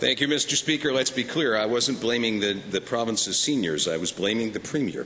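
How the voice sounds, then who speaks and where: Over noticeable background noise, a medium-pitched man speaks at a fairly quick pace with hardly any pauses, ordinary pitch variation and very even loudness. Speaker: opposition legislator questioning the premier. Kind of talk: formal legislature question period.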